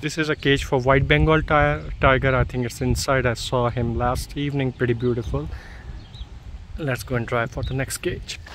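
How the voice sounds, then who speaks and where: A man talks at a moderate pace with ordinary pitch variation. The sound is dry with no echo, over light background noise. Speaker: resort guest vlogger. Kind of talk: casual vlog chat. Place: open country. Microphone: phone near.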